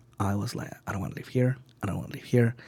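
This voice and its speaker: A somewhat breathy man's voice with a Spanish accent, medium in pitch, on a very clean recording with a silent background. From Venezuela. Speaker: sushi chef. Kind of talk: interview. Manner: halting, many fillers.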